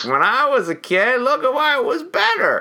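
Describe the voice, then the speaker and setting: A put-on character voice with a high pitch speaks at a moderate pace. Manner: grumpy, nostalgic.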